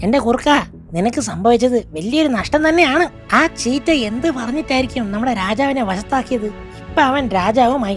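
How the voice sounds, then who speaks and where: A cartoonish character voice speaks at a moderate pace over clear music in the background. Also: female-sounding voice, high pitch for a woman. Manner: deferential.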